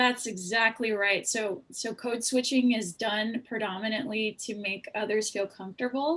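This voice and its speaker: A woman speaks in a normal speaking voice at a fairly high pitch. Her pace is moderate, with hardly any pauses. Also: ordinary pitch variation. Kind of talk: panel discussion. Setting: video call.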